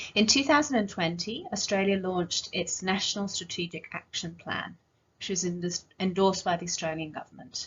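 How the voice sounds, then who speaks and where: A woman's medium-pitched voice in an English accent, fairly quick, with ordinary pitch variation. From northern England. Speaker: rare disease clinician or advocate. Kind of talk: conference presentation. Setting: virtual conference.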